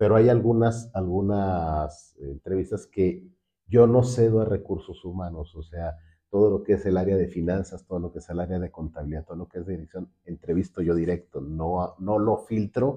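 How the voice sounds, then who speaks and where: At a moderate pace, a man speaks in a very deep, low voice with ordinary pitch variation and big swings in loudness. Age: 60s. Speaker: finance director and university lecturer. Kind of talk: interview.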